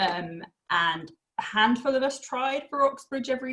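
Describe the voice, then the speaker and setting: A woman speaks in a somewhat breathy voice with a slight Essex accent. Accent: slight Essex twang. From Essex, England. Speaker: university access programme staff and former student. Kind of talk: podcast interview.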